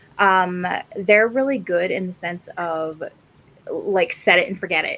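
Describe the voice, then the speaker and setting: A woman talks with a Canadian accent and ordinary pitch variation. Noticeable background noise runs under her voice. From Alberta, Canada. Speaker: podcast co-host, cosplayer. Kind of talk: casual chat.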